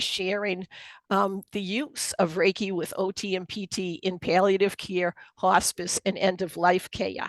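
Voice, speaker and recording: Over a quiet background, a woman with a Boston accent speaks at a medium pitch in a flat monotone. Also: dry, close sound with no echo. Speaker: occupational therapist and Reiki presenter. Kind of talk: webinar presentation.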